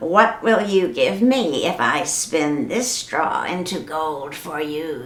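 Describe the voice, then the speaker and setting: A woman puts on a character voice at a fairly low pitch. She talks at a fairly slow pace. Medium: read story.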